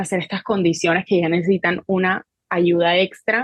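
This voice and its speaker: A woman speaks at medium pitch and a moderate pace. Her intonation is monotone and flat. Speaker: psychologist and therapist. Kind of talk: interview answer.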